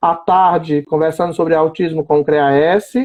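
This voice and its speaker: A man with a high pitch at a moderate pace. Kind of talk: live-stream interview. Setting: online live stream.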